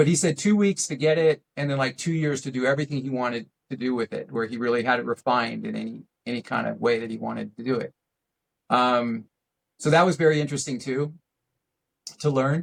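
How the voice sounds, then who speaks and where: A man speaks at a very fast pace. He leaves long, frequent pauses. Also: medium pitch for a man, ordinary pitch variation. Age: 60s. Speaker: RC aerobatics pilot. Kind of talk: casual interview chat. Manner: hesitant, many fillers.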